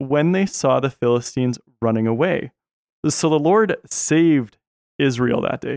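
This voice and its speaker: A man with an ordinary speaking voice talks at a fairly slow pace with ordinary pitch variation. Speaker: podcast host and camp worker. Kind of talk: casual podcast chat about Bible story.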